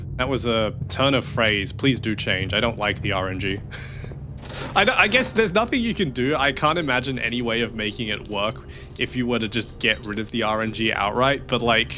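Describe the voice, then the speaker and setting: With noticeable background noise behind him, a man with an Australian accent talks fairly quickly at a medium pitch and with ordinary pitch variation. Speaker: streamer playing video games. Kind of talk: casual live gameplay commentary. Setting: livestream. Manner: animated.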